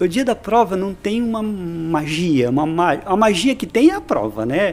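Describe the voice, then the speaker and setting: With music in the background, a man speaks at a fairly slow pace in a high voice. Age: 50s. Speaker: physical education instructor. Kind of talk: casual interview.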